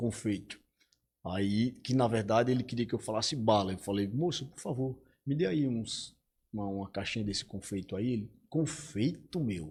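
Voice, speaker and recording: A man with a northeastern Brazilian accent speaks at a medium pitch and a moderate pace. His voice is somewhat breathy, with lively intonation. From Arapiraca, Alagoas, Brazil (Northeast). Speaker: English teacher. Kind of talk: casual interview chat.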